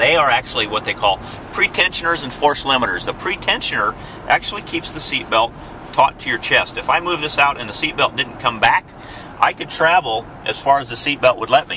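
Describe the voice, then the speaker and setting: Over noticeable background noise, a man talks at a fairly quick pace with lively intonation and a fairly high pitch. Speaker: car salesman. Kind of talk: product demo during test drive. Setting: in a car. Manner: whispering briefly.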